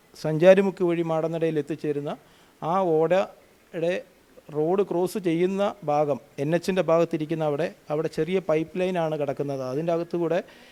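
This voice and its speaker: This man's voice has a dark, mellow tone. It sits high for a man, with fairly even intonation. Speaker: local party official. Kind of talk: news interview.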